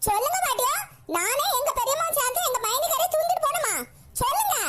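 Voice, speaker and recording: A woman puts on a squeaky, cartoonish character voice at an extremely high pitch, swinging her pitch very widely at a moderate pace. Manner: blunt, indignant.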